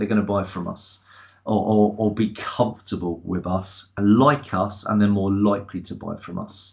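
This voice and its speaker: With an English accent, a man speaks at a moderate pace and a fairly low pitch against a quiet background. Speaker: sales trainer. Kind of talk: webinar presentation. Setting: online webinar. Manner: loud.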